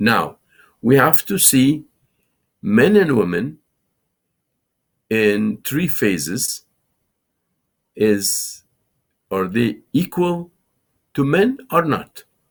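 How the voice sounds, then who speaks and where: A man speaks at a very slow pace, stopping often for long pauses. His pitch sits in a medium range but swings very widely. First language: Farsi. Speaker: Islamic scholar and TV show host. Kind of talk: lecture. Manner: halting.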